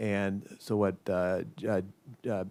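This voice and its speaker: Over a silent background in a very clean recording, a man speaks at a fairly low pitch with fairly even intonation. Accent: American. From US Midwest (downstate Illinois, near Peoria). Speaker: economist, policy analyst. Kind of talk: panel discussion. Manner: halting, many fillers.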